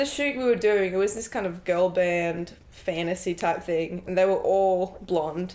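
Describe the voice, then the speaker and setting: This woman speaks in an Australian accent at a medium pitch with ordinary pitch variation. Her pace is fairly slow, with hardly any pauses. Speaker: actress. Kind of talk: interview.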